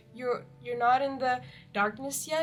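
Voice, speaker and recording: Over music in the background, a woman with a strong non-native accent and a fairly high pitch speaks at a moderate pace. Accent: strong foreign accent in English. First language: not English. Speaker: book reviewer. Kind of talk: casual book review monologue. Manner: halting, with many fillers.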